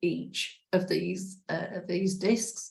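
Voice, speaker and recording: A woman's somewhat breathy voice with fairly even intonation. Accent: English. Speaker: spiritual practitioner. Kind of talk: personal testimony. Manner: hesitant, many fillers.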